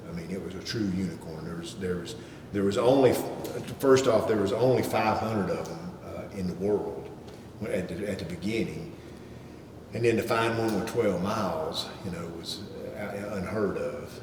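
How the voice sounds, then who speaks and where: A man with a North Carolina accent talks at a moderate pace with long, frequent pauses, fairly low in pitch with ordinary pitch variation. Noticeable background noise and audible room echo fill the recording. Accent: Southern US (North Carolina). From US South, Charlotte, North Carolina. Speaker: car collector. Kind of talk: casual interview chat. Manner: halting, many repetitions and fillers.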